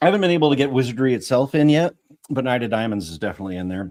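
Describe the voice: Lively pitch movement in a plain read-aloud passage, over hushed surroundings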